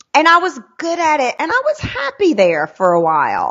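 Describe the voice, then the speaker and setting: A woman speaks in a Southern US accent with an animated tone. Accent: Southern US country. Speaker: sales trainer. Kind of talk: interview.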